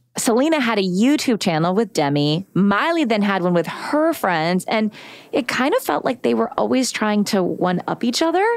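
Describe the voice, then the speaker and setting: With an American accent, a woman at medium pitch and moderate pace uses an animated tone, very wide pitch swings, and very even loudness. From Texas. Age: 40s. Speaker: podcast host. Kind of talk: casual chat.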